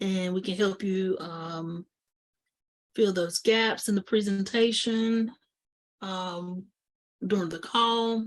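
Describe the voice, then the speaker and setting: Speaking at a very slow pace with long, frequent pauses, a woman with an American accent has a medium pitch, fairly even intonation and big swings in loudness. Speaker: insurance agent presenting webinar. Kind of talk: educational webinar presentation. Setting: online webinar.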